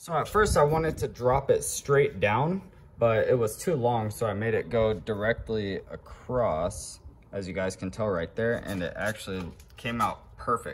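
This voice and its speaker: A man talks at a moderate pace as light background noise goes on. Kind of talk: casual vlog chat. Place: garage. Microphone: phone near.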